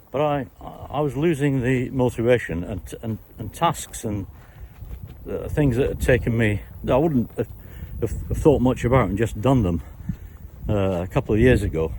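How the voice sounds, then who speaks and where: Speaking in a British accent with lively intonation and long, frequent pauses, the voice comes over noticeable background noise. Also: man, medium pitch for a man, moderate pace. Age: 60s. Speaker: retired YouTuber. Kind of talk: casual Q&A monologue. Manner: halting, many fillers and repetitions.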